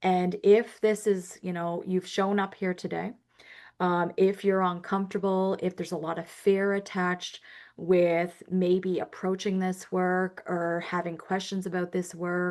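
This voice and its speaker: At a fairly slow pace, a woman speaks with monotone, flat intonation against a quiet background. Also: medium pitch for a woman. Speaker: social worker. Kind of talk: webinar presentation. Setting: webinar.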